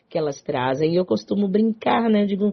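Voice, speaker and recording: A woman's animated, somewhat breathy voice with a strong Bahian accent. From Salvador, Bahia, Brazil. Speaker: psychologist radio host. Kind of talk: talk radio show.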